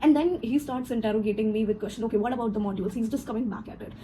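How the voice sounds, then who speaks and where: Speech comes at a very fast pace with ordinary pitch variation. Noticeable background noise runs underneath. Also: woman. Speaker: corporate trainer. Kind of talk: personal story vlog. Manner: animated.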